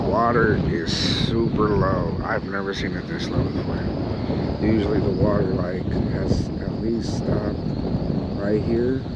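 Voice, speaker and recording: A man talks at a fairly slow pace with long, frequent pauses and ordinary pitch variation over loud background noise. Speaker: fishing vlogger. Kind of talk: casual vlog chat. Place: waterside. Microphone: phone near.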